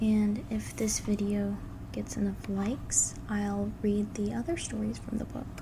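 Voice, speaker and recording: Over noticeable background noise, a soft-spoken voice talks at a fairly slow pace. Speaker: ASMR creator. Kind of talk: casual talk to camera.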